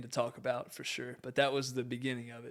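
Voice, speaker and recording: Speaking very fast, a man talks in an American accent. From US South, Southwest Virginia (Grayson County). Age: 20s. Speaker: former college athlete, ministry worker and realtor. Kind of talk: podcast interview.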